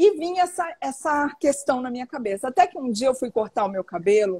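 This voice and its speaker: A woman is speaking. Her pace is fairly quick. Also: dry, close sound with no echo. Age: 60s. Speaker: author and teacher on women's health. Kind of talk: interview on live stream. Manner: animated.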